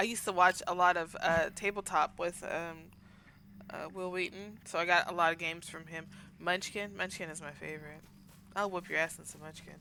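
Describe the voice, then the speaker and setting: Speaking in a Southern US accent at a fairly quick pace, a woman keeps a monotone, flat intonation while her loudness swings widely. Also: fairly low pitch for a woman. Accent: Southern twang. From US South. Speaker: game streamer. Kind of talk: casual chat.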